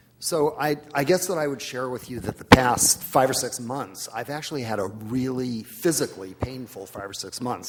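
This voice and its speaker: A man talks at a moderate pace, with a medium pitch and ordinary pitch variation. Noticeable background noise can be heard. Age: 60s. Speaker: happiness expert, conference panelist. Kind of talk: panel discussion.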